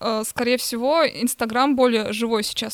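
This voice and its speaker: A woman talks in a high voice at a moderate pace with fairly even intonation. The recording is dry and close, with no echo. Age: young. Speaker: artist and museum researcher. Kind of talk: casual chat.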